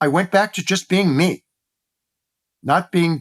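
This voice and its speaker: In a very clean recording with total background silence, a man is heard. His intonation stays fairly level. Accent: Midwestern. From US Midwest, Cleveland, Ohio. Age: 60s. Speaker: former beauty industry executive. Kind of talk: podcast interview.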